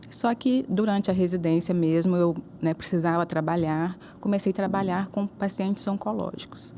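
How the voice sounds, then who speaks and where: At a moderate pace, a woman speaks with a medium pitch and ordinary pitch variation. Her loudness stays very even. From Juiz de Fora, Minas Gerais, Brazil. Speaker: neuro-oncologist. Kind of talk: interview.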